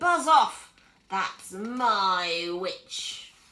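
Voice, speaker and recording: A woman puts on a character voice, fairly high for a woman and shrill. Her tone is croaky, with a growling edge. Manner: threatening, shouting.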